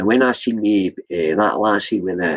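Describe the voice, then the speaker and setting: Speaking with a Scottish accent, a man uses a fairly low pitch at a fairly slow pace. The sound is dry and close with no echo. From Scotland. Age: 60s. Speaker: vlogger. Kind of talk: livestream rant. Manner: animated; halting.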